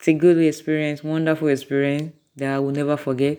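A woman speaks at a very deep, low pitch. Her tone is animated. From Nigeria. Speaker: motivational speaker. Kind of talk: testimony.

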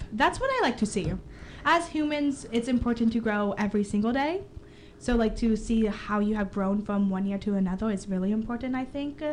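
A woman's fairly high, somewhat breathy voice with ordinary pitch variation at a moderate pace. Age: young. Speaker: student radio co-host. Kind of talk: casual chat.

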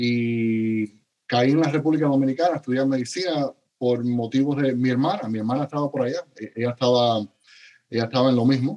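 A man speaks at a fairly quick pace in a medium pitch with ordinary pitch variation and a dark, mellow tone. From Cuba. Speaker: paramedic educator and physician. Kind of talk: interview. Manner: halting, many repeated words.

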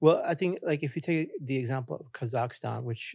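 A man speaks in a somewhat breathy voice. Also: very clean recording, silent background. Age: 50s. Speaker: blockchain entrepreneur and business professor. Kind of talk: interview.

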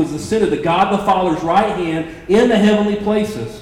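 Lively intonation marks a man's speech at a fairly quick pace. Audible room echo hangs around the voice. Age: 40s. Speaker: pastor.

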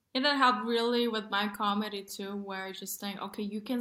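Her voice has a bright, sharp tone at a medium pitch. The woman talks at a fairly quick pace. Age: 20s. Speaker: comedian. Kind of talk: casual chat.

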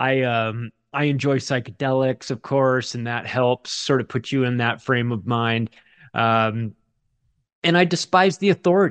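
Against a quiet background, a man talks at a fairly slow pace in an ordinary speaking voice, medium in pitch with ordinary variation, the sound dry and close with no echo. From Southern California, Palm Springs. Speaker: author and podcaster. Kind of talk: casual interview conversation.

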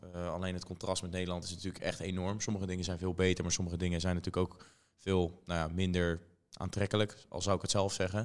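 This man's voice is very deep and low, delivered in a flat monotone at a very fast pace. The recording is very clean, with a silent background. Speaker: podcast host. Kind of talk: casual interview.

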